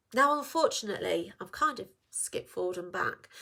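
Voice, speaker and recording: With an English accent and a bright, sharp tone, the voice makes very wide pitch swings on a very clean recording with a silent background. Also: woman. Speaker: women's health practitioner. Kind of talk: casual informational talk to camera. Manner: plain, conversational.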